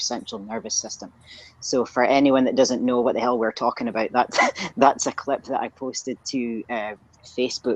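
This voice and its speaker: A woman with a Scottish accent talks at a fairly quick pace in a very deep, low pitch. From northeast Scotland, Aberdeen. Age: 30s. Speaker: strength coach. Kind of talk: casual interview.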